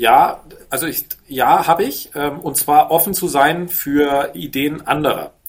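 At a very slow pace, a man talks at a fairly high pitch with vocal fry and ordinary pitch variation. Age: 40s. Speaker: business angel and entrepreneur. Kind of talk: interview conversation.

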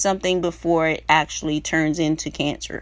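A woman with an American accent speaks at a fairly slow pace in an animated tone. The recording is very clean with a silent background. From South Carolina. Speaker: podcast host. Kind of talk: casual monologue.

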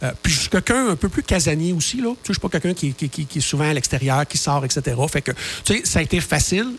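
With lively intonation and a fairly high pitch, this man rattles off his words at a very fast pace. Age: 50s. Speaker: author and radio contributor. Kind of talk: radio interview.

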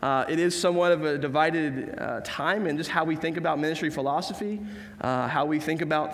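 Audible room echo surrounds a man who talks at a moderate pace with ordinary pitch variation. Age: 20s. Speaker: pastor. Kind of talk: sermon.

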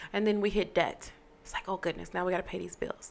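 A woman's voice with vocal fry. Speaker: podcast host. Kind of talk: casual, conversational financial advice.

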